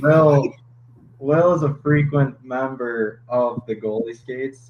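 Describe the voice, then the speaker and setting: A man's voice with fairly even intonation and a slight Minnesota accent. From Minnesota, Twin Cities suburb. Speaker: hockey goalie. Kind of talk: podcast interview.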